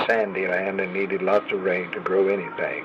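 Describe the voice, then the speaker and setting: Over noticeable background noise, the man talks at a medium speed with an American accent. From Oklahoma. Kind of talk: personal memoir storytelling.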